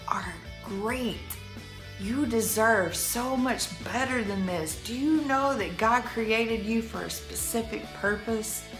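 A woman speaks at a very slow pace. Clear music plays in the background. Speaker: motivational vlogger. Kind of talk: casual vlog chat. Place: home room. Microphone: phone near.

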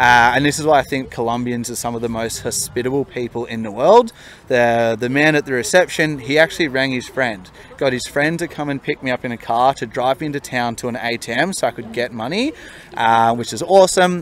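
A man with an Australian accent talks at a fairly quick pace and ordinary pitch variation, in a dry sound with no echo and light background noise. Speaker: solo traveller. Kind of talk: interview answer. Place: street. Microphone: handheld.

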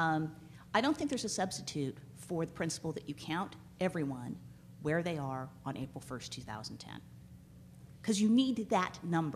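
Over light background noise, a woman with vocal fry and a very deep, low pitch speaks at a moderate pace with lively intonation. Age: 40s. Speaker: law professor. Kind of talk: conference panel talk. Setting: stage with audience. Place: hall. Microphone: podium.

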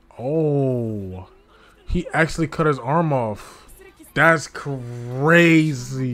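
The man talks at a very slow pace with ordinary pitch variation. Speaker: anime reaction streamer. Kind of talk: casual reaction commentary. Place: home room. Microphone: headset.

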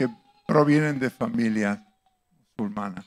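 A man's voice with very wide pitch swings against a quiet background. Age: 70s. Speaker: visiting speaker at a church; speaker. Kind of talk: church teaching talk with slides. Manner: halting, with fillers and restarts. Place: church. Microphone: handheld.

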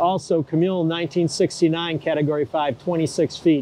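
A man is heard in a dry recording with no echo and light background noise. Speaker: boat mechanic vlogger. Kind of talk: casual vlog chat. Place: street. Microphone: lapel.

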